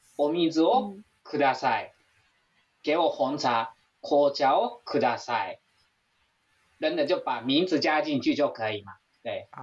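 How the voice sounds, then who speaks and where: Speech from a man comes at a fairly slow pace. His pauses are long and frequent. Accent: Japanese. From Japan. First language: Japanese (speaking Chinese). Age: 40s. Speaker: Japanese language teacher and YouTuber. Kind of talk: interview chat.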